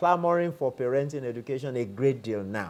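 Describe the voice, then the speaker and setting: A man's pitch rises and falls over a very wide range while he keeps a moderate tempo. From Nigeria. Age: 60s. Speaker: professor of counseling psychology. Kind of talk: interview.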